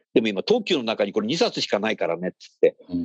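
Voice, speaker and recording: Very fast and animated, a man talks. The sound is dry and close, with no echo. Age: 60s. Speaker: radio host. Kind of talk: casual chat.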